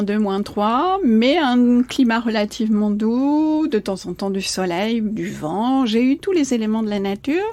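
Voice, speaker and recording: Over noticeable background noise comes a woman's voice, pitched fairly high. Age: 60s. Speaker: coach. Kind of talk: podcast interview. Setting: in person, by a marina. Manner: hesitant with many fillers.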